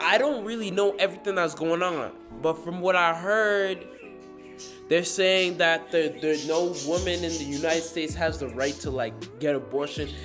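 A man's high-pitched voice over clear background music. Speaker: vlogger. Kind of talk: casual vlog chat. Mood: thoughtful, casual.

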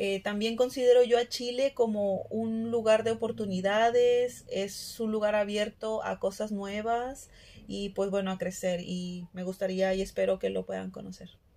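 Fairly slow, fairly even speech with hardly any pauses. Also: woman, fairly high pitch for a woman. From Mexico, Monterrey, Nuevo León; Nuevo León, Mexico. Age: 30s. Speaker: health worker and small food business owner. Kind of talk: testimony; personal testimony. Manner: hesitant, frequent fillers. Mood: calm, reflective. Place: home room. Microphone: phone near.

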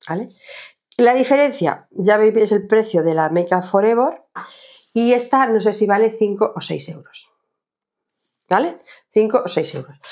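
A woman speaks with a fairly high pitch and lively intonation against a quiet background. Her pace is fairly slow, broken by long, frequent pauses. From Jaén, Andalusia, Spain. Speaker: lifestyle vlogger. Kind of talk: casual haul video monologue. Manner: hesitant, many fillers. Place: home room.

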